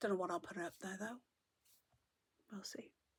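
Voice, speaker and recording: The sound is dry and close with no echo. A woman with a South Welsh accent speaks at a medium pitch with fairly even intonation. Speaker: knitting vlogger. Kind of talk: casual chat.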